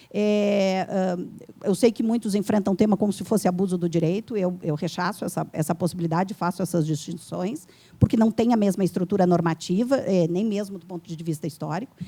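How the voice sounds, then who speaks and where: Dark and mellow in tone, a woman's medium-pitched voice moves at a fairly quick pace with ordinary pitch variation and big swings in loudness. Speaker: law professor, panel speaker. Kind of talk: debate panel answer to audience question. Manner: fast; hesitant, many fillers.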